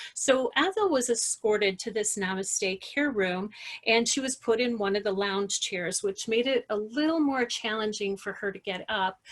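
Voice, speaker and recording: A woman with a plain, everyday voice speaks at a fairly high pitch and a moderate pace, with ordinary pitch variation and hardly any pauses. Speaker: hospice nurse and educator. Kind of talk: online presentation.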